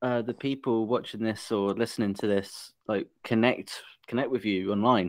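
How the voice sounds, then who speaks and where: On a very clean recording with a silent background, a man with an English accent speaks at a medium pitch. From England. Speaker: podcast host. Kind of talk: casual interview.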